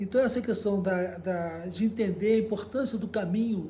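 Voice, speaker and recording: Audible room echo surrounds a man's high-pitched voice. His intonation stays fairly even. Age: 70s. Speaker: cycle traveler and journalist. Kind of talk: interview storytelling. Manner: halting, with many fillers.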